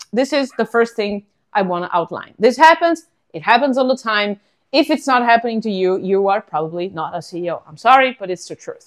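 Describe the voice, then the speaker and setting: In an Italian accent, the speaker goes at a fairly quick pace with very wide pitch swings and big swings in loudness. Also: woman, fairly high pitch for a woman. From Italy. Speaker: podcast host, startup founder. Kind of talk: casual monologue podcast. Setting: at home.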